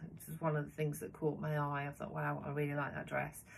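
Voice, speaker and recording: A woman speaks with a Birmingham accent. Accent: Midlands English, near Birmingham. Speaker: sewing vlogger. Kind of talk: casual chat. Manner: hesitant, many fillers.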